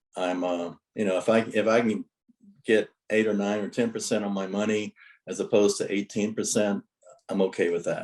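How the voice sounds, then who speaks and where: The man's voice comes through a dry, close sound with no echo as he speaks at a moderate pace. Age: 60s. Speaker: note investor. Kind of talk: interview.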